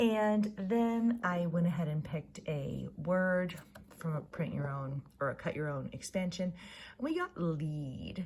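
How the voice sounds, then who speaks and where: Speaking at a very slow pace, a woman sounds somewhat breathy, with lively intonation. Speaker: ritual guide. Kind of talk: spiritual guided reflection to camera.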